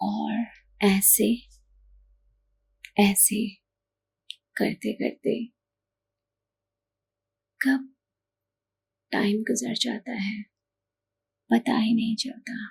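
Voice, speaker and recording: The speaker is soft-spoken with fairly even intonation, captured in dry, close sound with no echo. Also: woman, fairly high pitch for a woman. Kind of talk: ASMR sleep-help talk.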